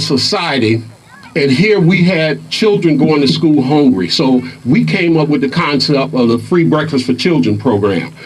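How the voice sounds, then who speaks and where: Noticeable background noise and audible room echo surround this man's voice. He speaks at a fairly high pitch with lively intonation. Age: 60s. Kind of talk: rally speech. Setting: outdoor rally in a park.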